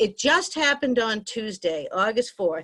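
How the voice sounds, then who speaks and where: The speaker is a woman with a fairly high pitch. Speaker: arts center director. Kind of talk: virtual meeting remarks. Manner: fast.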